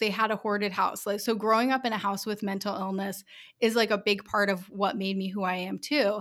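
Heard on a very clean recording with a silent background, a woman with an American accent and a plain, everyday voice speaks at a fairly quick pace and a medium pitch. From US Northeast, Rhode Island. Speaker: business owner. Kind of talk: interview.

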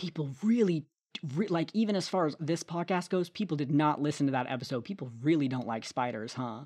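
With little sound behind it, the voice keeps to a moderate pace. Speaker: podcast co-host and quizmaster. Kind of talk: game show host reading quiz questions. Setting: home recording, solo. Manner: casual, jokey, self-deprecating; conversational, off-the-cuff, with fillers and laughs.

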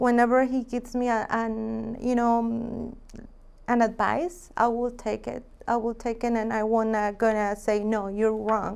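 Speaking fairly slowly in a Mexican accent, a woman uses a fairly high pitch with monotone, flat intonation. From Mexico, Jalisco. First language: Spanish. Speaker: real estate agent. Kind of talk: interview.

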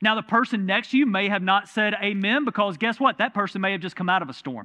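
A man speaks with a Southern US accent. His voice is high-pitched and his pace very fast. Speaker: pastor. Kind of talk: sermon. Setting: church. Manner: conversational.

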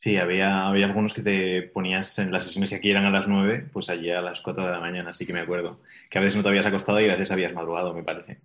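At a very fast pace with hardly any pauses, a man with a Spanish accent speaks in a very deep, low pitch and monotone, flat intonation over a quiet background. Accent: Peninsular Spanish. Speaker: podcast host and business mentor. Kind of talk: interview.

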